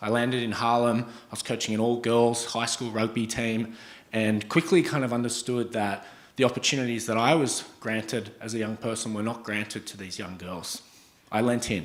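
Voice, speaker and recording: Speaking with an Australian accent at a moderate pace, a man with a medium pitch and fairly even intonation shows big swings in loudness amid audible room echo. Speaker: startup founder and CEO. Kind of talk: startup pitch presentation. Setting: stage with audience.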